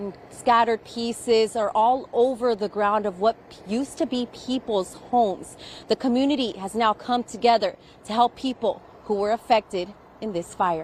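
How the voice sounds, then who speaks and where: A woman with a fairly high pitch speaks in an ordinary speaking voice at a moderate pace, with ordinary pitch variation. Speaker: television news reporter. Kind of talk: TV news field reporting, live stand-up. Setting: outdoors, on location.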